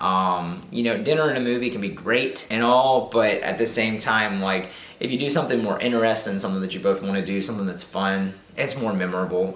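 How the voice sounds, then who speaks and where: A man speaks at a fairly low pitch and a fairly quick pace. Background noise is noticeable. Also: ordinary pitch variation, hardly any pauses. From Southern United States. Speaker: YouTuber. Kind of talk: casual talk to camera. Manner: upbeat, chatty.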